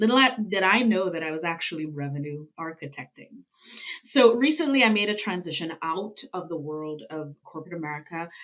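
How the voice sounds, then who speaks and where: Speech at a fairly quick pace with a slight Trinidadian accent. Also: woman, fairly low pitch for a woman, lively intonation, big swings in loudness. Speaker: revenue consultant. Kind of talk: interview.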